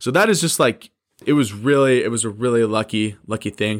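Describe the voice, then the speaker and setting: On a very clean recording with a silent background, a man speaks at a medium pitch with ordinary pitch variation. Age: 20s. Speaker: podcast host and small business owner. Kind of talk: casual solo podcast talk.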